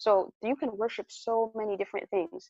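In an American accent, a woman speaks with a plain, everyday voice. Her pace is fairly quick and her intonation fairly even. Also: dry, close sound with no echo. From US, New Jersey. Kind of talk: interview.

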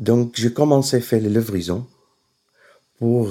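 Speaking with a Syrian accent, a man uses a fairly low pitch and a dark, mellow tone, moving at a fairly slow pace with ordinary pitch variation. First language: Arabic (speaking French). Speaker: caterer. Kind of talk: interview. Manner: halting.

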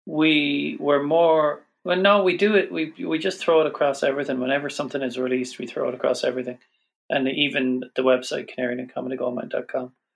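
In an Irish accent, a man rattles along at a very fast pace. His pitch sits fairly high. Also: ordinary pitch variation. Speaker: podcast guest. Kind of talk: casual chat.

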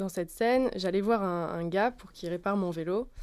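This woman talks at a medium pitch and a moderate pace, with ordinary pitch variation. The recording is very clean, with a silent background. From France, Lyon. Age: 20s. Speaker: actress. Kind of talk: casual chat. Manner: halting.

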